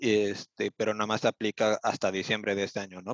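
A man speaks fairly quickly in a flat, monotone way. The sound is dry and close with no echo, against a quiet background. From Mexico City. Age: 20s. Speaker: vocational apprentice. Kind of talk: interview.

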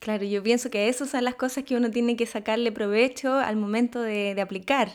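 A woman's unremarkable speaking voice, fairly high in pitch, with fairly even intonation and a fairly quick pace. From Chile. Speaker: podcast host. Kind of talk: interview.

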